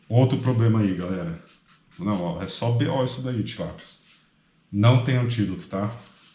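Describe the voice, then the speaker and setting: A man speaks in a medium pitch with a dark, mellow, somewhat breathy tone. Long, frequent pauses break up his speech, and room echo is audible. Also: ordinary pitch variation, moderate pace. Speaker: medical student tutor. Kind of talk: study review lecture. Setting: apartment at night. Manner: soft-spoken; casual.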